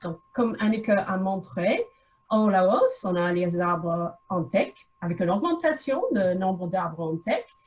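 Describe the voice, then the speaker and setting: A woman with an English accent at a very slow pace, her pitch swinging very widely. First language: English (speaking French). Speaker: researcher. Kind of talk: lecture. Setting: video call. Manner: halting.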